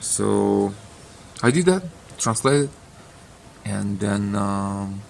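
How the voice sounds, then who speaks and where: Speaking with a Russian accent, a man talks at a very slow pace. He leaves long, frequent pauses. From Ukraine. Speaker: author. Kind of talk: casual monologue. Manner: halting.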